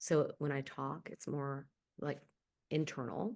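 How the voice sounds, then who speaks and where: Over a quiet background, a woman with a very deep, low pitch speaks fairly slowly with fairly even intonation. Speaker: actress and voice actor. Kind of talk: interview. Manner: articulate, theatrical.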